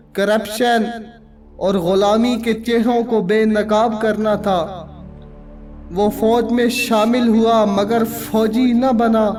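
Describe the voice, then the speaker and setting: The voice takes a dramatic tone while music plays in the background. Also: man. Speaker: voice-over narrator. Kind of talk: documentary narration. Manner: dramatic, impassioned.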